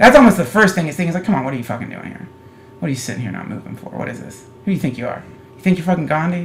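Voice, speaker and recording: A man with a high pitch and an American accent, very fast pace, lively intonation, big swings in loudness, and noticeable background noise. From US South, North Carolina. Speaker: comedian. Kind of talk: casual chat. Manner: animated.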